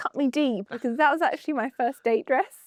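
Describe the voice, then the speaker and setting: In a dry, close sound with no echo and a quiet background, a woman speaks at a high pitch. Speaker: yachting presenter. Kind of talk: casual chat.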